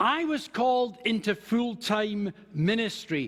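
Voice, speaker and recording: Noticeable background noise accompanies a man with a Scottish accent whose pitch is extremely high. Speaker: minister. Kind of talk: sermon.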